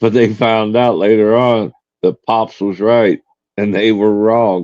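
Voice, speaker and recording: A man with a Tennessee accent speaks at a very slow pace with monotone, flat intonation, his sound dry and close with no echo. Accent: US Southern (Tennessee). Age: 60s. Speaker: live streamer. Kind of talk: casual chat. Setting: live stream.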